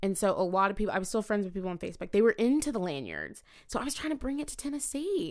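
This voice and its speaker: Her fairly high voice races at a very fast pace with hardly any pauses and very wide pitch swings, in a very clean recording with a silent background. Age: 20s. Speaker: student affairs professional. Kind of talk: casual interview chat.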